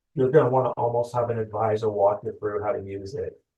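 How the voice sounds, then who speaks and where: A man's dark, mellow voice, somewhat breathy, comes at a fairly quick clip, its pitch varying in an ordinary way. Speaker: loan officer. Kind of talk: webinar presentation. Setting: online webinar. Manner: fast.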